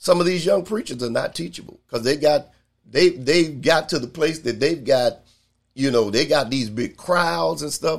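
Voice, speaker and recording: Speaking at a moderate speed, this man uses lively intonation. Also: very clean recording, silent background. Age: 60s. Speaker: pastor. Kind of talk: Bible study teaching. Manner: halting, frequent fillers.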